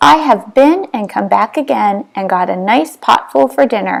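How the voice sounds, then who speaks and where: A woman uses a put-on character voice at medium pitch. Her pitch swings very widely at a moderate pace. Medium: read story.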